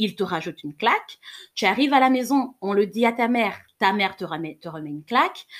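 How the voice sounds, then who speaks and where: With lively intonation and big swings in loudness, a woman speaks at a fairly high pitch. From Cameroon. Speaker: podcast host, sexologist and psychologist. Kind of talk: solo podcast monologue. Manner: slightly trembling voice; animated.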